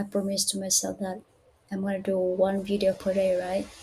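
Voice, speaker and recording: A woman speaks at a medium pitch with a dark, mellow tone and a non-native accent. Her voice is somewhat breathy. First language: not English. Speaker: English learner. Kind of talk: casual talk to camera.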